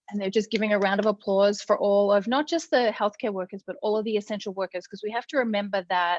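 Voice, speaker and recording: A woman talks very fast in an Australian accent, with hardly any pauses. Her medium-pitched voice has ordinary pitch variation and a dry, close sound with no echo. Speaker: critical care nurse. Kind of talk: casual interview chat. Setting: live video call. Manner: runs words together.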